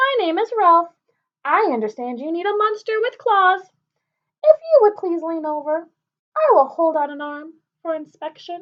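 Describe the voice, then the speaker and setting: A woman speaks in a put-on character voice, extremely high-pitched and raised to project, with long pauses that come often. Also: moderate pace. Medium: read story.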